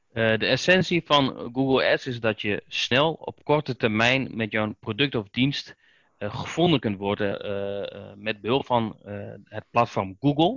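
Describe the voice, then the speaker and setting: A man with an unremarkable speaking voice, medium pitch with ordinary variation, a fairly slow pace and big swings in loudness. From Netherlands, Oldenzaal, Overijssel. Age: 30s. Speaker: Google Ads specialist and trainer. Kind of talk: podcast interview.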